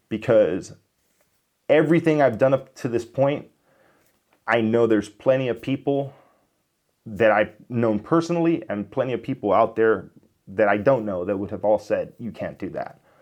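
A man's medium-pitched voice with an American accent, at a moderate pace with ordinary pitch variation and long, frequent pauses. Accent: Miami US, toned down. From Miami, US. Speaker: YouTuber, software developer. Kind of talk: casual vlog monologue.

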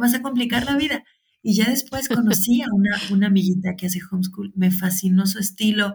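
Somewhat breathy woman's voice at medium pitch, moderate pace and fairly even intonation. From Mexico, Guadalajara. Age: 40s. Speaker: teacher and mother of seven. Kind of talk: interview.

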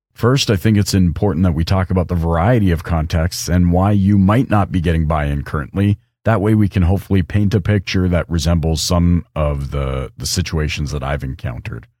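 A man with a very deep, low voice at a fairly quick pace, hardly any pauses and ordinary pitch variation. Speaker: podcast host. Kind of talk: solo podcast monologue. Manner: animated.

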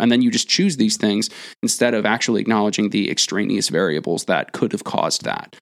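This man talks at a fairly quick pace with vocal fry and a fairly low pitch, in a dry, close sound with no echo. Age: 20s. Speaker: podcast co-host, former personal trainer. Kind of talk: casual chat.

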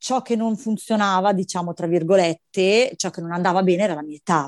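Fairly low in pitch, a woman speaks at a fairly quick pace with an animated tone. Her pitch variation is ordinary, and the background is quiet. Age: 40s. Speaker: bank employee sharing motherhood story. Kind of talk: personal testimony.

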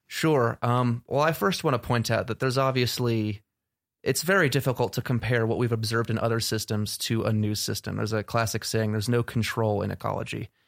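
A man with an American accent speaks at a medium pitch in a normal speaking voice, using ordinary pitch variation at a fairly quick pace. The recording is very clean, with a silent background. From New Jersey, US. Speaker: ecology graduate student. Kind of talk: interview.

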